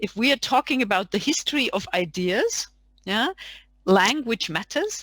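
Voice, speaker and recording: A woman with a German accent speaks at a moderate pace and a fairly high pitch. The recording is very clean, with a silent background and a dry, close sound with no echo. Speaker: academic panelist. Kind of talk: panel discussion.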